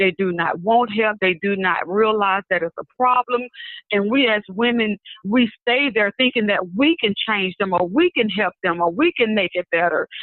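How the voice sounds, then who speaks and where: A woman with a Southern US accent, medium pitch, ordinary pitch variation, a moderate pace and very even loudness. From Mobile, Alabama. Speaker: prophetess and minister. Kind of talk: interview answer.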